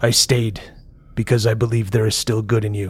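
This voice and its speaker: A man speaks in a put-on character voice. His pitch sits at a medium level. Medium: actual play. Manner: commanding, stern.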